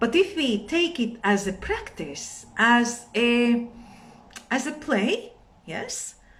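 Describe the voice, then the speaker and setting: Lively intonation in a Latvian accent. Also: woman. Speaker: meditation and yoga teacher. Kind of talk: live stream talk. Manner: halting.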